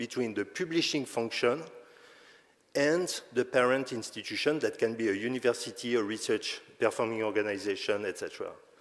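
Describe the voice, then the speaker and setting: A man with a non-native accent is speaking. His pace is moderate and his pitch medium. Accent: noticeable non-native. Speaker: conference speaker on open access publishing. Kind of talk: conference presentation. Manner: halting, with self-corrections.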